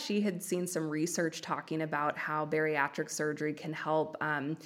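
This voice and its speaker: A woman with an American accent speaks in a very deep, low voice. The recording is very clean, with a silent background. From US West Coast. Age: 20s. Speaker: podcaster sharing weight loss story. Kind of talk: casual interview. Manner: talkative, drawn-out speech.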